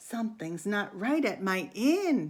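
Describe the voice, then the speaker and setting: A woman's put-on character voice, medium in pitch and sing-song, at a fairly slow pace. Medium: read story. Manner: singsong.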